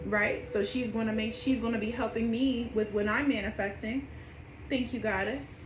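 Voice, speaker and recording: The woman's pitch is fairly high, and she keeps a moderate pace. Audible room echo and noticeable background noise fill the recording. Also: fairly even intonation. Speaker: spiritual practitioner teaching rituals. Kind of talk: tutorial. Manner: casual, with many fillers; whispering during petition.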